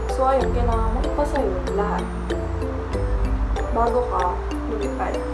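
A woman speaks fairly slowly while loud noise fills the background. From Philippines. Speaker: flight attendant. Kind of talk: casual talk to camera. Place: home room. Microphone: phone near.

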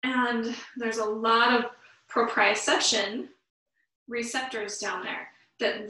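Speaking at a very slow pace with monotone, flat intonation, a woman with a fairly high pitch is heard with audible room echo. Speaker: yoga teacher. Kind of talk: guided yoga class. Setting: online live class. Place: home room. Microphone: camera far.

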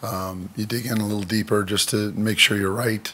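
Moderate pace and monotone, flat intonation from a man with a fairly low pitch. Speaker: football coach. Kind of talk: press conference answer. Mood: calm, positive. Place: meeting room. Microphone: podium.

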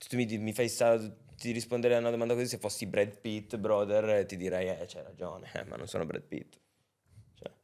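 Over a quiet background, a man with a fairly low pitch talks at a moderate pace with ordinary pitch variation, big swings in loudness and long, frequent pauses. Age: 20s. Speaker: rapper; podcast guest. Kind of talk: casual chat. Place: studio. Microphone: studio mic.

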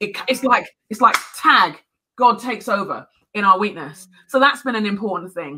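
A speaker with a London accent talks at a moderate pace, with lively intonation and big swings in loudness, over noticeable background noise. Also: woman, fairly high pitch for a woman. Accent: British (London). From London, England. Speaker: speaker, author. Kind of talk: sermon; interview answer. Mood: earnest, faith-filled encouragement. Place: home room.

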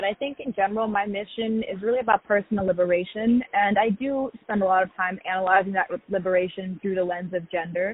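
A woman talks at a very fast pace with hardly any pauses, the sound dry with no echo. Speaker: interviewee. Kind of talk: interview answer. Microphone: phone line.

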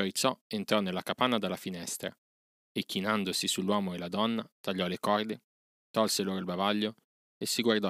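Over a quiet background, someone reads aloud in a natural voice.

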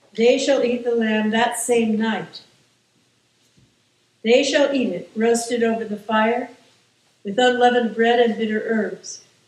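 A woman speaks at a fairly slow pace, with audible room echo. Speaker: clergy reader. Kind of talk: scripture reading. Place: church.

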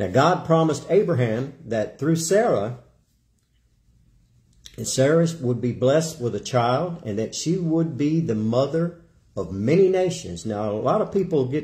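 A man speaks at a fairly slow pace in a somewhat breathy voice with a dark, mellow tone. The background is quiet. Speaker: preacher. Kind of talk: sermon. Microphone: phone near.

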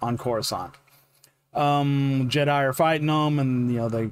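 A man speaks in a dry recording with no echo. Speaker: fan video creator. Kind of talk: casual vlog chat, book recap. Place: home room. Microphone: earbuds.

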